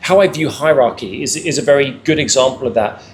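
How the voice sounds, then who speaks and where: Through noticeable background noise, a man with a British accent talks at a very fast pace, his fairly high pitch showing ordinary variation. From England. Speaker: panelist. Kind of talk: panel discussion. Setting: live event with audience. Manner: repetitive stammering on words.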